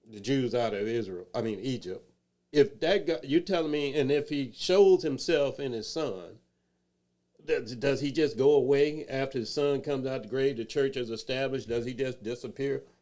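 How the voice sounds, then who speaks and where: A man's dark, mellow tone comes at a moderate pace with ordinary pitch variation. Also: medium pitch for a man. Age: 60s. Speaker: talk show host. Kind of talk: casual chat. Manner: halting.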